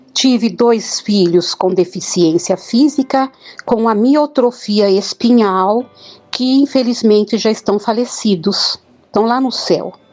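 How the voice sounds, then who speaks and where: Music plays behind a woman with a fairly high pitch. She talks at a very slow pace with lively intonation. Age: 60s. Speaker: near-death experiencer. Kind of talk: testimony. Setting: voice message.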